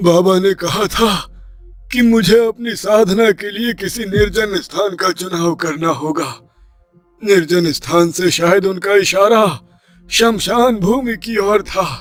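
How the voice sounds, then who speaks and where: Using a put-on character voice, a man talks at a fairly slow pace and a high pitch, with faint music in the background. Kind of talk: formal Hindi dramatic speech. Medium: audio drama. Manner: earnest, respectful.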